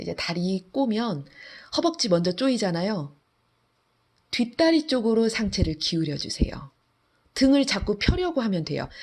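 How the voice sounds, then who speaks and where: Somewhat breathy, a woman talks at a moderate pace in a fairly high pitch, with very wide pitch swings, big swings in loudness, and long, frequent pauses. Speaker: fitness instructor. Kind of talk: guided workout instruction, giving exercise cues. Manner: calm, steady, encouraging; imperative, rhythmic cueing in short phrases.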